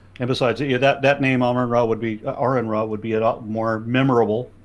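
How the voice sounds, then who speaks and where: With an American accent, a man at medium pitch talks at a very fast pace with fairly even intonation. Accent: faint Los Angeles accent, fought back. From US Southwest and Texas. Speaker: YouTuber and atheist activist. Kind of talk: interview. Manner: halting, with many restarts.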